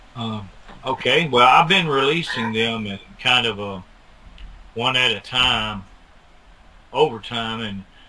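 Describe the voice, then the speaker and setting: There is noticeable background noise while a man is talking. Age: 60s. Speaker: bigfoot film researcher. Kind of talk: interview. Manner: halting.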